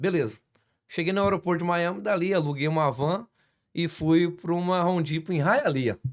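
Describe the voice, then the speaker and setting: Speaking with ordinary pitch variation, a man's voice sits high in pitch. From Brazil, Espírito Santo. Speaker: construction business owner, church guest. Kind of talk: casual interview.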